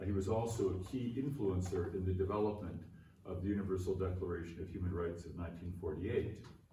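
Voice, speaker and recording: Someone with a Canadian accent speaks at a fairly quick pace with ordinary pitch variation, with audible room echo and noticeable background noise. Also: man. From Canada. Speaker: philosophy professor. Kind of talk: conference keynote lecture. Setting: conference venue with aeroplane noise. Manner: formal.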